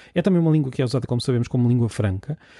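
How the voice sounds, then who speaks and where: A speaker with a European Portuguese accent and ordinary pitch variation. The sound is dry and close with no echo, over a quiet background. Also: man. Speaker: podcast host, linguist. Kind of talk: solo educational podcast. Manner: halting, repeats words.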